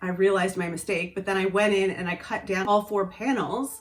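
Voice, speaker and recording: A woman's intonation stays fairly even as music plays in the background. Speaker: sewing vlogger. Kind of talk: casual talk to camera.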